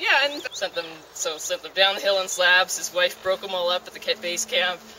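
The voice moves at a moderate pace, with a dry sound with no echo and light background noise. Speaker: park hike guide. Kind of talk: guided tour commentary. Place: forest. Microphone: camera far.

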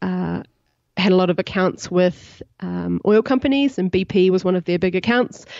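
A woman speaks in a New Zealand accent at a moderate pace. Her pitch is medium, with ordinary pitch variation. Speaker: startup CEO and co-founder. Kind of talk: podcast interview.

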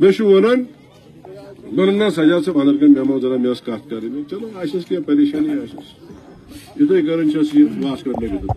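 Over light background noise, a man talks at a very fast pace with lively intonation. His loudness swings widely. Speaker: political candidate. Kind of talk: rally speech. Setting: outdoor public rally. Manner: animated, fervent, persuasive. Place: open country. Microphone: handheld.

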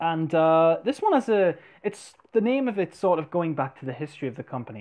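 A man speaks at a moderate pace with lively intonation. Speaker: fragrance reviewer. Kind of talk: product review vlog. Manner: normal volume, not whispering; casual, filler-heavy. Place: home room. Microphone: earbuds.

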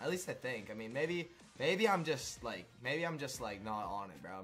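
A man is speaking. His pitch swings very widely. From western Canada. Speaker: streamer. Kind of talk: live game stream chat. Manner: casual, filler-heavy.

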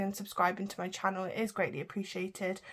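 Here is a woman with a British accent. She talks at a very fast pace. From UK. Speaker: budgeting vlogger. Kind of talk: casual vlog tutorial; casual vlog chat. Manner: chatty, talking while counting. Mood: a bit low, apologetic. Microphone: phone near.

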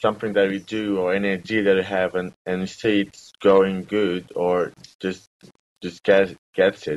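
A man talks with a Portuguese accent. His pitch is fairly low and his pace fairly slow. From Brazil. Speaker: entrepreneur. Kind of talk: interview. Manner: halting. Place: home room. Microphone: webcam.

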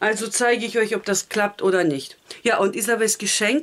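The speaker is a woman with a fairly high pitch. She keeps a moderate pace. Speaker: family vlogger. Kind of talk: casual vlog narration. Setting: at home.

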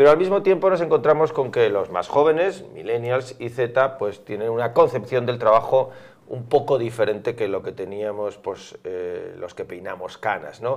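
A man with a medium pitch talks at a moderate pace with hardly any pauses. His intonation is lively, and his loudness swings widely. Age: middle-aged. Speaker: interviewer; interviewer, host. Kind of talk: interview; interview question. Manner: hesitant, many fillers. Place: studio. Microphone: lapel.

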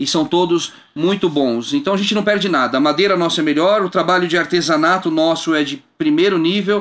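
High-pitched man's voice, lively in intonation, very even in loudness and fairly quick, against a quiet background. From Brazil. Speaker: bass player and music entrepreneur; guest. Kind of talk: casual interview. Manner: halting with repeated words. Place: studio. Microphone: studio mic.

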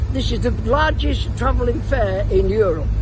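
The speech moves at a moderate pace. The sound is dry with no echo, but there is noticeable background noise. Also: man. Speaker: travelling fair showman. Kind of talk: interview answer. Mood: warm, reminiscing. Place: open country.

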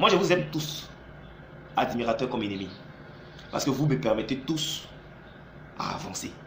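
A man talks at a moderate pace with very wide pitch swings and long, frequent pauses. Audible room echo and light background noise surround his voice. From Côte d'Ivoire. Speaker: YouTube commentator; vlogger. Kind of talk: vlog monologue. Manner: animated. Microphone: phone near.

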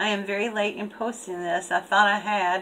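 A woman speaks at a moderate pace with light background noise behind her. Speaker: craft channel host. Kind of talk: casual vlog chat, reading a letter aloud. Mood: cheerful, laughing. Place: home room. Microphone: webcam.

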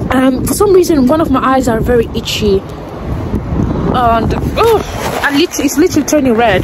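Loud background noise sits behind a woman speaking at a fairly slow pace. The sound is dry, with no echo. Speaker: vlogger. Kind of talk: casual vlog chat. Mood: amused, laughing. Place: street. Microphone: phone near.

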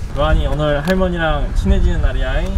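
The pace is moderate. Noticeable background noise runs through the clip. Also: man. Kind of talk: casual family vlog talk. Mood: playful, gentle. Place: street.

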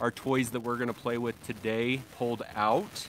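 Crowd noise fills the background as a man speaks at a fairly slow pace with fairly even intonation, in a dry sound with no echo. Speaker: lawn care livestream host. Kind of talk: casual live stream chat. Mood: cheerful, relaxed. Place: street. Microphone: phone near.

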